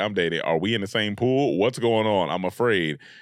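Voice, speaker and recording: A man in a Southern US accent, animated in tone, at a moderate pace with ordinary pitch variation, on a very clean recording with a silent background. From US South, North Carolina (Raleigh-Durham). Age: 30s. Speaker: comedian and YouTube creator. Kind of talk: casual interview chat.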